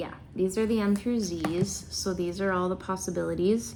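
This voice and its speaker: Audible room echo surrounds a woman who speaks at a moderate pace with ordinary pitch variation. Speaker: unboxing YouTuber. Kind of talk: casual vlog unboxing. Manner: loud.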